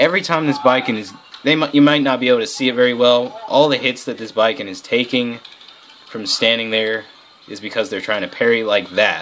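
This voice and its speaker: Noticeable background noise sits behind a man talking at a fairly quick pace. His loudness swings widely. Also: medium pitch for a man, ordinary pitch variation. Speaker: gaming video commentator. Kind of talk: gameplay commentary. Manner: halting, many fillers and restarts.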